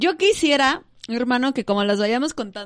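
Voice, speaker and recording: At a fairly quick tempo, a woman speaks with lively intonation in a plain, everyday voice. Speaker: podcast host. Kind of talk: reading aloud; casual chat.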